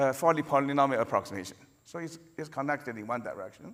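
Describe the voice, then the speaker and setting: A man with a non-native accent speaks at a fairly high pitch. His pitch varies in an ordinary way. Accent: noticeable non-native. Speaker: computer science professor. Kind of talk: conference lecture. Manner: halting, with frequent fillers and repetitions.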